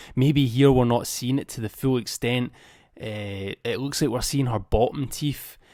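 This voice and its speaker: In a Scottish accent, a man speaks at a fairly slow pace with fairly even intonation and a dark, mellow tone. The recording is very clean, with a silent background. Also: medium pitch for a man. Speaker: movie news youtuber. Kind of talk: casual video commentary. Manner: casual, off the cuff.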